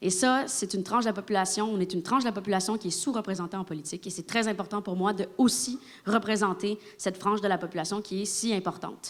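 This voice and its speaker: Her pitch is in the middle range for a woman. She speaks very fast. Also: ordinary pitch variation. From Quebec. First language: Spanish (speaking French). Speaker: politician. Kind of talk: political debate.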